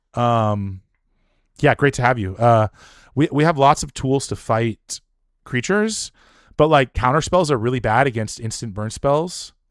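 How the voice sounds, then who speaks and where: This man's medium-pitched voice has lively intonation, moving at a fairly slow pace with long, frequent pauses. The very clean recording has a silent background and a dry, close sound with no echo. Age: 40s. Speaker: game streamer. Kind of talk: live gameplay commentary. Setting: live stream. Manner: halting, many repetitions and fillers.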